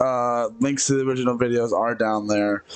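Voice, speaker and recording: Faint music plays in the background. The pitch varies in an ordinary way. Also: man. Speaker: reaction video creator. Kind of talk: casual reaction commentary. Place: home room. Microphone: headset.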